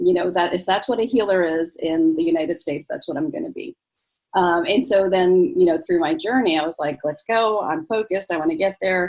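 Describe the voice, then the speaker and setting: A woman speaks at a fairly quick pace in a normal speaking voice. Her pitch is medium and her intonation lively. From US, born in Egypt. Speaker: physician. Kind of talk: interview.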